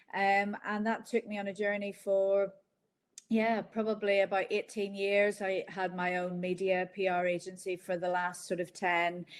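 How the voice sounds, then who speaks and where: With a Northern Irish accent, a woman at medium pitch speaks at a moderate pace in a monotone, flat way. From Northern Ireland. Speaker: company founder. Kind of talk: interview. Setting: video call.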